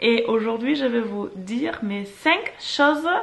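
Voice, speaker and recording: A woman's fairly high-pitched voice at a very slow pace. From northern Germany. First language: German (speaking French). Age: 30s. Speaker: vlogger. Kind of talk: casual vlog talk to camera. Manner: hesitant, many fillers.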